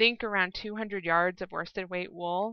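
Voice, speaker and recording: With a plain, everyday voice, a woman speaks at a moderate pace and medium pitch, keeping her intonation fairly even. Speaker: podcast host. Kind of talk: casual chat. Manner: chatty.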